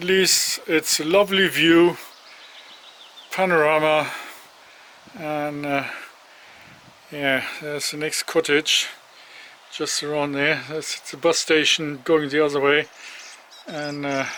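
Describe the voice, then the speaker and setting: Monotone and flat, the speech goes very slowly with long, frequent pauses over noticeable background noise. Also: man, fairly high pitch for a man. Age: 60s. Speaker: solo hiker vlogger. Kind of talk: casual vlog monologue. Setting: outdoors at a bus stop. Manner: hesitant, many fillers.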